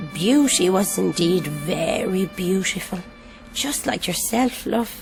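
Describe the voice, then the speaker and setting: Clear music plays in the background behind a cartoonish character voice. The speech moves at a fairly slow pace. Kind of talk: bedtime story. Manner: cosy yet sardonic.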